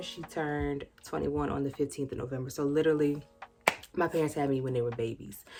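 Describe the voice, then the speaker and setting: A woman with an American accent, very deep, low pitch, fairly even intonation and a fairly quick pace, with music in the background. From rural US. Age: 30s. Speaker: YouTuber. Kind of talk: casual vlog talk. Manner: conversational.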